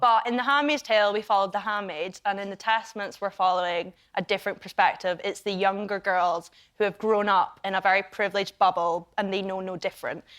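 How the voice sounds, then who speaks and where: A woman speaks at medium pitch in a Scottish accent. She goes at a very fast pace against a quiet background. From Scotland. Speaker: actress. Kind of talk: talk show guest interview answer. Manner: chatty, upbeat.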